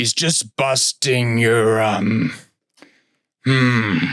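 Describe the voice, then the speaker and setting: A man speaks in a put-on character voice that is gruff and medium in pitch. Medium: read story. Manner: halting, forgetful.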